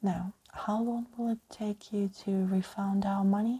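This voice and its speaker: Her tone dark and mellow, a woman speaks at a medium pitch in a somewhat breathy voice with fairly even intonation. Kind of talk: ASMR audiobook reading of a scary story. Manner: soft-spoken, relaxing.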